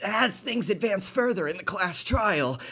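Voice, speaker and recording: Someone puts on a character voice at a middle pitch and a moderate pace. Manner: exaggerated, theatrical.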